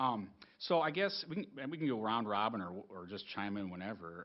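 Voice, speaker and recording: A man with an Upper Midwest accent and a fairly low pitch. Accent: Upper Midwest American. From southern Minnesota, US. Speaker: superintendent candidate, educator. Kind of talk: job interview. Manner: fast; hesitant, filler-heavy.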